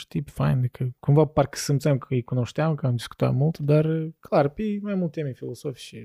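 A man speaks fairly quickly at a fairly high pitch, his tone dark and mellow and somewhat breathy. The sound is dry and close with no echo. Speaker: podcast host. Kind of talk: casual chat.

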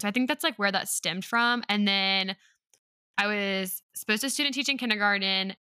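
A woman's medium-pitched voice in a Southern US accent, bright and sharp in tone, at a fairly quick pace with ordinary pitch variation, in a very clean recording with a silent background and a dry, close sound with no echo. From North Carolina. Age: 20s. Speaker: podcast host and teacher. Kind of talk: casual chat.

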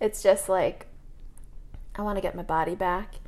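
A woman talks at a moderate pace with lively intonation in a plain, everyday voice. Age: 30s. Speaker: podcast co-host. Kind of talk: casual chat.

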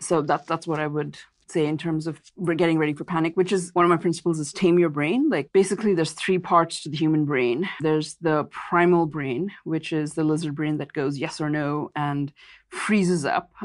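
A woman's very deep, low voice in an American accent, at a moderate pace with fairly even intonation. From India / US. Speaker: investment advisor and author. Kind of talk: interview. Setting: podcast interview.

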